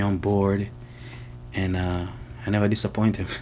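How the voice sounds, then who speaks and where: A man speaks with a Jamaican accent at a fairly low pitch. His pace is moderate, and his pitch variation is ordinary. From Jamaica, Kingston. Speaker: mechanic. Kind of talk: interview. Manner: casual.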